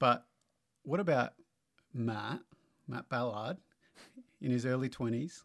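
A medium-pitched man with an Australian accent speaks at a fairly slow pace, with long, frequent pauses and ordinary pitch variation. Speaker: church co-host. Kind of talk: casual interview.

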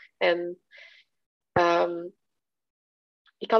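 A woman talks with her pitch in the medium range. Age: 30s. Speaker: webshop owner. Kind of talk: interview conversation. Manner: slow, halting.

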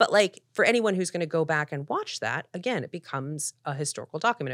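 A woman with an American accent speaks in a plain, everyday voice at a fairly quick pace and fairly low pitch. The recording is very clean with a silent background, dry and close with no echo. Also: hardly any pauses. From US Northeast, Philadelphia. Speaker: TV showrunner and producer. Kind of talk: interview conversation. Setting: podcast interview.

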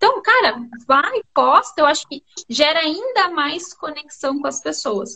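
A woman with a raised, projected voice at a high pitch uses very wide pitch swings and big swings in loudness. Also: fairly slow pace. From Paraná, Brazil (Londrina). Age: young. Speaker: business mentor. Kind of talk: casual interview.

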